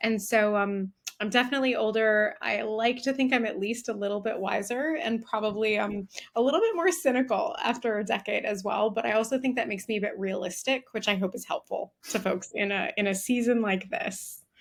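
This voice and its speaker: A woman with an American accent talks in a plain, everyday voice, fairly high in pitch with ordinary pitch variation and hardly any pauses. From United States. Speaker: diversity and inclusion executive. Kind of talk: interview.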